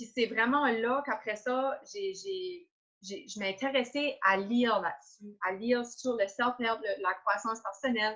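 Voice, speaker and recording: In an Acadian accent, a woman speaks fairly slowly with a bright, sharp tone, a fairly high pitch and ordinary pitch variation. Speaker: entrepreneur. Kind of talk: interview. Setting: Facebook live video call.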